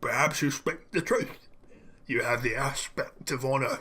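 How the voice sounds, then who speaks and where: A man puts on a raspy character voice, pitched fairly high, at a moderate pace. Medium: game stream. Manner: formal, solemn.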